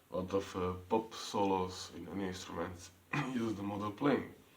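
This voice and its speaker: With an Eastern European accent, a man speaks amid noticeable background noise and audible room echo. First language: non-English. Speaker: piano teacher. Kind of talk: tutorial. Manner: halting.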